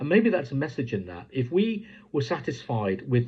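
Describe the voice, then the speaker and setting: This voice is somewhat breathy, with an English accent. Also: man. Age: 60s. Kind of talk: devotional talk. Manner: hesitant, many fillers.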